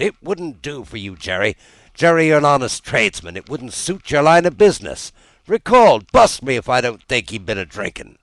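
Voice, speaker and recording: A man puts on a rumbling character voice, fairly high in pitch. He talks at a fairly quick pace with very wide pitch swings. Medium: read story. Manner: muttering, grumbling to himself.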